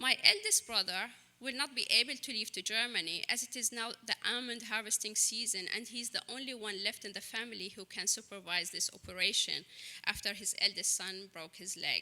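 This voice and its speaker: In an Arabic accent, a woman speaks fairly quickly at a fairly high pitch, her tone bright and sharp with ordinary pitch variation. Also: big swings in loudness. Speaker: writer. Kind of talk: reading aloud.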